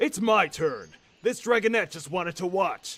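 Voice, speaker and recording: A man puts on a cartoonish character voice, high in pitch. He delivers it at a moderate pace. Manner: earnest, insistent.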